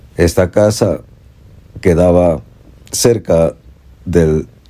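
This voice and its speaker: His voice dark and mellow, a man speaks at a very slow pace with a very deep, low pitch and ordinary pitch variation. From Ecuador, coastal El Oro province. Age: 70s. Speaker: storyteller. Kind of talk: personal storytelling.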